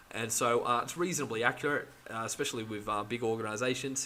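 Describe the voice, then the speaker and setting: Noticeable background noise sits behind a man speaking at medium pitch with fairly even intonation. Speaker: growth hacking tutorial creator. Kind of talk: tutorial. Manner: casual, filler-heavy; fast.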